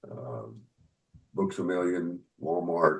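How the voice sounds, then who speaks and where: Very deep and low with vocal fry, a man speaks at a fairly slow pace. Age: 70s. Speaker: author and musician. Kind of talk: interview.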